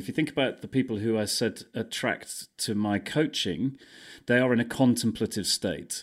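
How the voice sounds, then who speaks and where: The voice is a man's, a plain, everyday voice at a medium pitch. He speaks at a moderate pace in a very clean recording with a silent background. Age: 50s. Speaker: breathwork coach and brand consultant. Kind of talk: casual interview chat.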